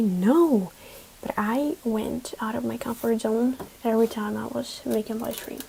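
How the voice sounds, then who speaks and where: A woman speaks in a fairly high pitch over noticeable background noise. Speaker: live streamer. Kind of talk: casual chat.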